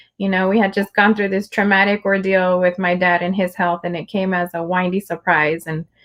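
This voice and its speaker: A woman with a Spanish accent speaks at a fairly quick pace with hardly any pauses. Her medium-pitched voice has monotone, flat intonation. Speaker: livestream host and poet. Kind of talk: casual conversation. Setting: livestream video call.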